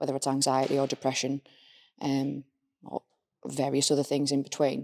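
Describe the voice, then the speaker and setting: A woman's very deep, low voice, dark and mellow, at a very fast pace on a very clean recording with a silent background. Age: 30s. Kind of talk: casual chat.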